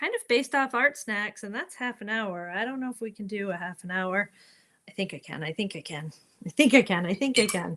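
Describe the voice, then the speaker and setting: Lively in intonation, a woman at medium pitch talks in a normal speaking voice with an American accent at a fairly quick pace. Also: big swings in loudness. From New York. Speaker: art teacher. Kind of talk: tutorial. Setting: live stream.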